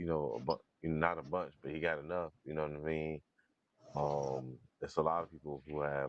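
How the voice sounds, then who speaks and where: The man's pitch is very deep and low. He talks at a fairly quick pace with flat, monotone intonation. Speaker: boxing podcast host. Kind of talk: casual live boxing commentary.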